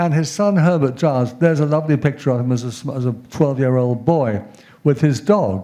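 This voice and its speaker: A man with a British accent talks at a fairly quick pace and a fairly high pitch, with a dark, mellow tone. His pitch variation is ordinary, and room echo is audible. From England. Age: 70s. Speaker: professor. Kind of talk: lecture. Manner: halting.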